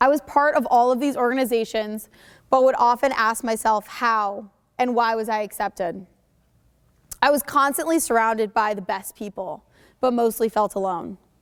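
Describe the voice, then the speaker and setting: Recorded very cleanly against a silent background, a woman with an American accent speaks at a moderate pace and fairly high pitch. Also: ordinary pitch variation. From Connecticut, US. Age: 20s. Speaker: entrepreneur, mental health speaker. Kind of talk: school presentation speech. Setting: school stage with audience, microphone.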